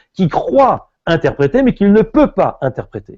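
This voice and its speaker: Speaking at a very slow pace, a man uses a high pitch with very wide pitch swings. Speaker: rabbi and philosopher teaching Talmud. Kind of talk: lecture. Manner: animated, with hesitations.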